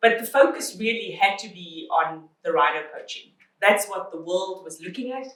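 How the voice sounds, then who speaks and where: A woman at a medium pitch with lively intonation, moderate pace and big swings in loudness. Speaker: chief ranger of a national park. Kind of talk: panel discussion.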